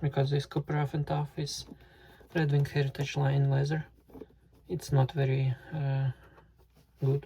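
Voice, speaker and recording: The speech is in monotone, flat intonation, with noticeable background noise. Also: man. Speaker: boot reviewer, YouTuber. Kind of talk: tutorial. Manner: halting, with fillers.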